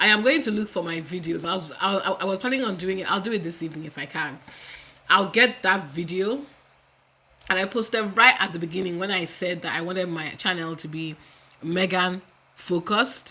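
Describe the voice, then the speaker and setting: In a Nigerian accent, a woman talks at a fairly quick pace in an animated tone. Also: medium pitch for a woman, ordinary pitch variation. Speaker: YouTube commentator. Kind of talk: live stream commentary. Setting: home live stream on camera.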